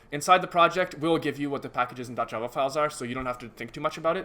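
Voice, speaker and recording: Very fast and bright, sharp in tone, a man talks with ordinary pitch variation. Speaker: teaching assistant. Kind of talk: online tutorial.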